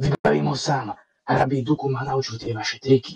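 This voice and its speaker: Raspy and at medium pitch, a man speaks in a put-on character voice. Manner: mocking, theatrical.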